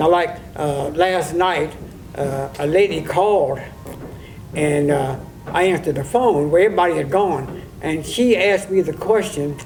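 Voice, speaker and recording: There is audible room echo and music in the background. A man speaks with ordinary pitch variation. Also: fairly high pitch for a man, moderate pace. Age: 80s+. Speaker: harness racing old-timer. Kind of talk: oral history interview. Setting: log cabin on fairgrounds. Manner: halting, many repetitions.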